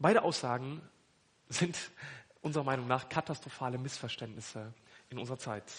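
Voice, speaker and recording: A man's medium-pitched, somewhat breathy voice with ordinary pitch variation, a fairly quick pace and long, frequent pauses. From northern Germany (Hannover). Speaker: pastor. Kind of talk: sermon.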